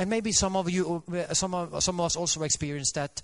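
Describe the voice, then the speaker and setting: Moderate pace, ordinary pitch variation and a Norwegian accent over a quiet background. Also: man. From Norway. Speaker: Adventist preacher. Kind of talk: sermon. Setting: church. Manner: halting, with many fillers.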